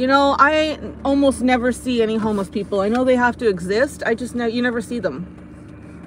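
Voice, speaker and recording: A woman speaks in an animated tone. The sound is dry with no echo, and background noise is noticeable. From United States. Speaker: vlogger. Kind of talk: live stream chat while driving. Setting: in a car. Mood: amused, relaxed. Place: car. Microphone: phone near.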